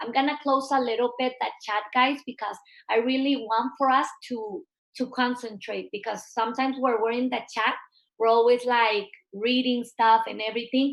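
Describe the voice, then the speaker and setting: Her pitch sits high. She keeps her intonation fairly even. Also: moderate pace. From Mexico. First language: Spanish. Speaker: network marketing leader. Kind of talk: online training webinar. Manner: halting, with fillers and restarts.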